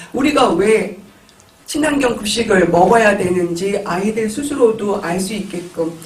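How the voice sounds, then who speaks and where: At a fairly slow pace and high pitch, a man speaks with ordinary pitch variation, with audible room echo and noticeable background noise. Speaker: panelist, local food committee member. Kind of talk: panel discussion remarks. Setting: auditorium forum with audience. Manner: hesitant fillers.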